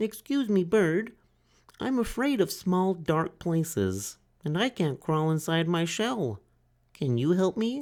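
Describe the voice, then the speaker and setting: A put-on character voice at a middle pitch, fairly slow, in a very clean recording with a silent background. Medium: read story. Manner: polite, timid.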